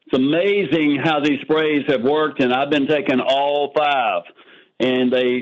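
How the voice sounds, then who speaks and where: A man with a normal speaking voice talks at a fairly slow pace, his fairly high pitch held in fairly even intonation. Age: 60s. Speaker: testimonial giver on sales call. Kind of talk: testimony.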